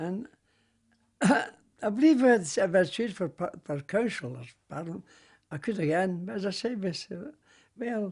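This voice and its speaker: Speaking with a Glasgow accent, a man talks at a moderate pace in a high pitch. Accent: Scottish, Glasgow. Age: 80s+. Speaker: war veteran. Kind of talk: interview answer.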